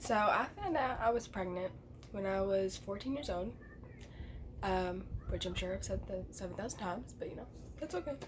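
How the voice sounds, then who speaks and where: Moderate pace with long, frequent pauses and audible room echo. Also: woman. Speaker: vlogger. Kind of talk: personal storytelling vlog. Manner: casual, filler-heavy.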